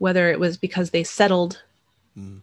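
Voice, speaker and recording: Speaking with an American accent at a fairly low pitch, a woman is heard on a very clean recording against a silent background. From New Mexico, US. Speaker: author. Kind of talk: interview.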